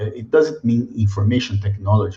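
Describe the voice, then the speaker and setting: This man's fairly low voice is somewhat breathy, with a Brazilian accent. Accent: typical Brazilian. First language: Portuguese. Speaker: mining company sustainability director. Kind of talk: webinar presentation. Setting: video webinar. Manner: halting, many fillers.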